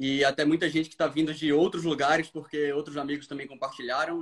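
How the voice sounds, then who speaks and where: Fairly quick speech from a man with a fairly high pitch and monotone, flat intonation. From Brazil, Recife (Pernambuco). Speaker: diplomat. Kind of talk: casual live-stream chat.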